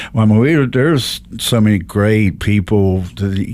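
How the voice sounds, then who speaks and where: A man at medium pitch, with an ordinary speaking voice and ordinary pitch variation. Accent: American. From Ohio and West Virginia, railroad family. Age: 60s. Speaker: local social media page creator. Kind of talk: podcast interview. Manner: conversational, repeats words.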